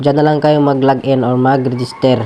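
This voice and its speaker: Medium in pitch and moving at a moderate pace, a man speaks with flat, monotone intonation. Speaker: vlogger. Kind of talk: tutorial. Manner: casual, filler-heavy.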